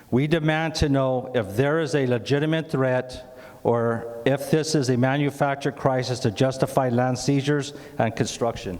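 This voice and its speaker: A man's medium-pitched voice keeps fairly even intonation and very even loudness. Noticeable background noise is present. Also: moderate pace. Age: 70s. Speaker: community resident speaking at town hall. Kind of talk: public comment at town hall; reading a prepared statement aloud. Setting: town hall meeting with audience. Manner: halting with fillers.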